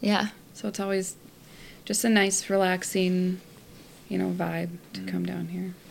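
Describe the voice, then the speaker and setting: With a Minnesotan accent, a woman talks at a moderate pace. Her pauses are long and frequent. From Minnesota, US. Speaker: guest, family friend. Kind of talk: casual chat.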